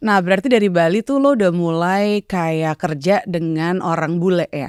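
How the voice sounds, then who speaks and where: In a very clean recording with a silent background and a dry, close sound with no echo, a woman with an unremarkable speaking voice talks at a moderate pace, her fairly low pitch showing ordinary variation. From Indonesia, East Jakarta. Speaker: podcast host. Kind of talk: casual chat.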